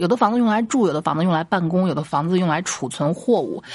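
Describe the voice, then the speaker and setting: Music plays in the background as a woman talks at a very fast pace. Her pitch is medium and her intonation lively. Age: middle-aged. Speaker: comedy podcast host. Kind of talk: casual storytelling monologue.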